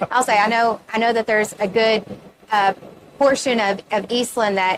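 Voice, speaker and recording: A woman with a Texan accent, fairly high pitch, fairly even intonation, very even loudness, and a moderate pace. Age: 30s. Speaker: reunion committee member. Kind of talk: interview. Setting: event center pavilion.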